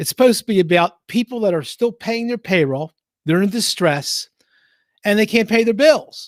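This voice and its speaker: In a Philadelphia accent, an animated voice with lively intonation comes across dry and close with no echo. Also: man. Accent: Philly. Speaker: accountant. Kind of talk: casual live-stream Q&A. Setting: basement live stream, sharing one mic. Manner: animated, emphatic; halting, many fillers.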